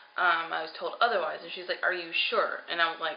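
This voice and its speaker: Noticeable background noise and audible room echo surround this recording. A woman speaks at medium pitch and a moderate pace. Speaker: vlogger on weight loss surgery journey. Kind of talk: personal video diary.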